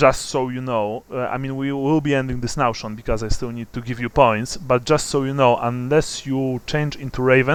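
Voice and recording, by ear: Fairly even intonation in reading aloud with a natural voice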